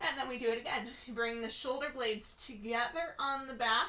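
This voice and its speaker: In a room with audible echo, a woman speaks at a high pitch with ordinary pitch variation and a bright, sharp tone. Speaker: Pilates instructor. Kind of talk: fitness class instruction. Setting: at home. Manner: slow, gentle.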